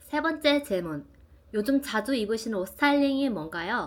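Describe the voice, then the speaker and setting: Talking at a moderate pace, a woman makes very wide pitch swings. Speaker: small YouTuber, vlogger. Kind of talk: casual Q&A vlog. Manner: bright, lively.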